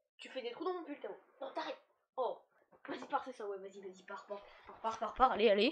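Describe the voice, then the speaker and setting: A woman with a high pitch talks at a fairly quick pace with lively intonation. Her loudness swings widely, and she takes long, frequent pauses. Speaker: gaming YouTuber. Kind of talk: casual setup tour vlog. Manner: fast.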